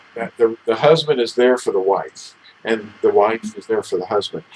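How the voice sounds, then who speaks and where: A man at a moderate pace, fairly even intonation, with noticeable background noise. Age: 60s. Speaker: religious teacher, talk show co-host. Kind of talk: casual religious discussion.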